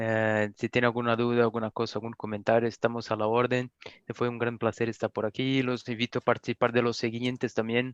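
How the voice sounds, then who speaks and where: A man with a non-native accent, medium pitch and monotone, flat intonation at a moderate pace, dry and close with no echo over a quiet background. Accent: foreign accent in Spanish. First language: Portuguese (speaking Spanish). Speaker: refrigerant industry representative. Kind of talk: webinar closing remarks. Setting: online webinar.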